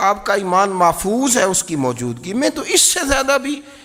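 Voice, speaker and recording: Noticeable background noise runs behind a man speaking. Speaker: Islamic scholar giving a lecture. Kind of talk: Islamic religious lecture (bayan).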